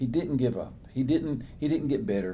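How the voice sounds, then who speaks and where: Moving at a moderate pace, a man with a medium pitch and a dark, mellow tone makes very wide pitch swings. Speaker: author and preacher, interview guest. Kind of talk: interview answer, sermon-like Bible talk.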